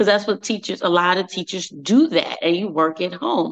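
Ordinary pitch variation runs through this woman's fairly low voice. It is an ordinary speaking voice. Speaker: teacher and speaker. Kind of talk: casual chat. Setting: video call.

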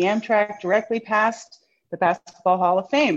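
With an American accent, a woman talks at a moderate pace in a normal speaking voice at medium pitch. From New York City. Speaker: museum curator and historian. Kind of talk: interview conversation. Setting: remote video call.

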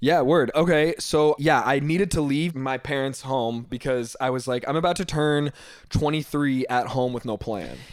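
A man with a fairly high pitch talks at a moderate pace with ordinary pitch variation, in an ordinary speaking voice. The recording is very clean, the background silent. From Northern Virginia. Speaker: fashion designer. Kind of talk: casual chat.

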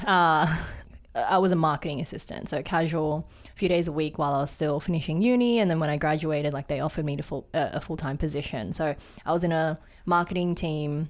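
The speech comes at a very fast pace with ordinary pitch variation, in an Australian accent. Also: woman, very deep, low pitch for a woman. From Sydney, Australia. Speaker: product designer and photographer. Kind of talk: casual interview chat. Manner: halting, many fillers.

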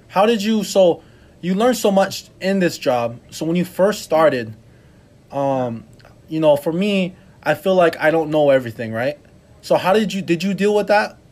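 A man speaks in a high pitch at a moderate pace. His intonation is lively. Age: 20s. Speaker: podcast host. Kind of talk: interview.

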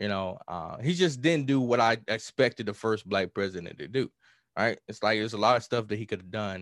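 With a Southern US accent, a man with a fairly low pitch speaks at a fairly quick pace with ordinary pitch variation. The sound is dry and close with no echo, and the background is quiet. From US South, rural Mississippi. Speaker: hip-hop artist. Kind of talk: podcast interview.

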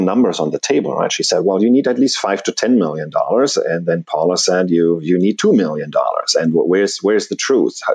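A man is speaking. He has a German accent. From Germany. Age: 40s. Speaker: personal finance blogger, early retiree. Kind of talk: interview. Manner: halting.

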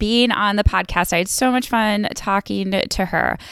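A woman with an American accent, medium pitch and ordinary pitch variation, an ordinary speaking voice. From New York. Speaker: wildlife biologist and podcast host. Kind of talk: sales pitch; casual interview chat. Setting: video call from parents' house.

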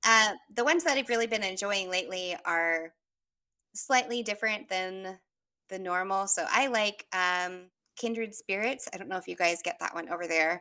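The voice has a bright, sharp tone, ordinary pitch variation and a moderate pace. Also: woman, medium pitch for a woman, very clean recording, silent background. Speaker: tarot reader and medium. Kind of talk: casual chat.

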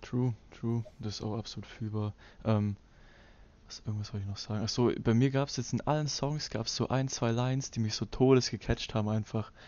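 With fairly even intonation, the delivery moves along at a fairly quick pace. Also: man, medium pitch for a man. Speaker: livestream reaction host. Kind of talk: casual livestream chat. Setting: YouTube livestream.

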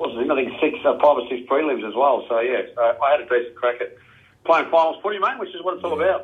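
Here is a man with an Australian accent. He talks very fast. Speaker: retired Australian rules footballer. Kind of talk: casual interview.

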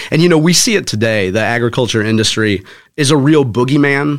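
At a very fast pace, a man talks in an American accent with ordinary pitch variation. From St. Louis area, Missouri (North County). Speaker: author and former corporate communications professional. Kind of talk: interview. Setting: studio.

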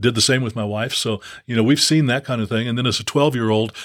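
Medium-pitched male voice, fairly even in intonation, on a very clean recording with a silent background. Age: 60s. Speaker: former pro basketball player and preacher. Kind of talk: casual chat.

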